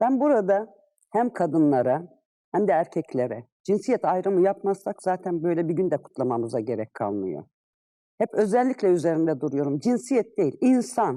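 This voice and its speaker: A woman's fairly low, dark and mellow voice with vocal fry, very wide pitch swings and a moderate pace. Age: 50s. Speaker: retired civil servant. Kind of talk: interview. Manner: hesitant fillers.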